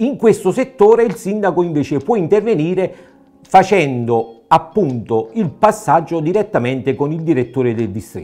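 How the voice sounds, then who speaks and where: Faint music plays behind a man speaking at a moderate pace. His voice is high for a man, with very wide pitch swings. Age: 60s. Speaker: mayoral candidate, nurse; candidate. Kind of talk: political interview. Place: studio. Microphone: lapel.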